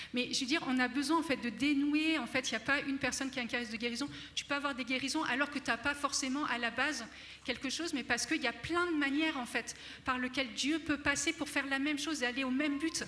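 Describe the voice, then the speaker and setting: Raising and projecting her voice, a woman speaks at a very fast pace and a high pitch. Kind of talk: spiritual teaching talk. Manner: animated, enthusiastic.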